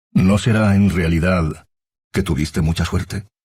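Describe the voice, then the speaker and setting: Using a put-on character voice, a man speaks at a very deep, low pitch. His pace is moderate and his intonation fairly even. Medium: read story. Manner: quiet, subdued.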